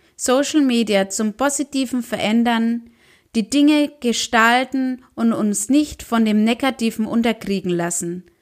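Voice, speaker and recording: A woman's normal speaking voice, fairly high in pitch, at a fairly slow pace with ordinary pitch variation, on a very clean recording with a silent background. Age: 40s. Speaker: social media podcast host. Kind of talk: weekly news roundup monologue.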